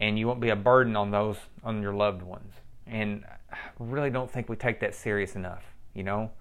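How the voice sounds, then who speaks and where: A man with a fairly low voice speaks at a fairly quick pace in an unremarkable speaking voice, his intonation fairly even. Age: 40s. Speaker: personal trainer and gym owner. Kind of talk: motivational monologue.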